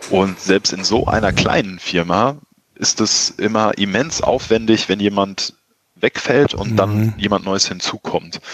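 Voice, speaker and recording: In a dry, close recording with no echo, a man speaks very slowly at a fairly low pitch, his intonation fairly even. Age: 30s. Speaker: entrepreneur, marketing agency owner. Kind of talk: interview.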